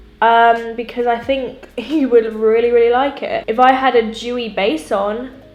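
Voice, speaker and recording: Music plays in the background as a woman speaks at a fairly slow pace. Her pitch is high, with ordinary variation. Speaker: beauty YouTuber. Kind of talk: casual makeup tutorial talk to camera. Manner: chatty, upbeat.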